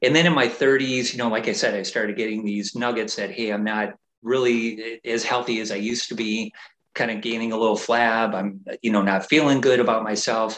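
With an unremarkable speaking voice, a man talks at a fairly quick pace, medium in pitch and fairly even in intonation. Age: 50s. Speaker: fitness coach. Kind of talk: casual interview.

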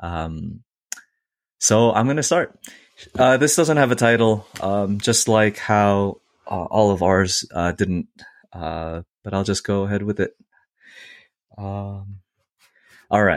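Over a very clean recording with a silent background, the speaker goes at a very slow pace with long, frequent pauses and ordinary pitch variation. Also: man, fairly low pitch for a man. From US Northeast. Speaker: podcast co-host. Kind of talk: casual chat.

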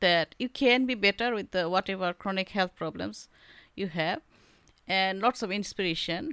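A woman's medium-pitched voice in a Bengali accent, with ordinary pitch variation and a moderate pace, on a very clean recording with a silent background and a dry, close sound with no echo. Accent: Indian English, Bengali. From India, Bengal. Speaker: artist and author. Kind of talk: casual interview.

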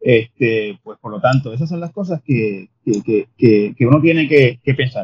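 A man talks at a fairly slow pace with hardly any pauses, his somewhat breathy voice carrying lively intonation and big swings in loudness. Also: medium pitch for a man. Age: 50s. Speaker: journalist and columnist. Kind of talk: interview conversation.

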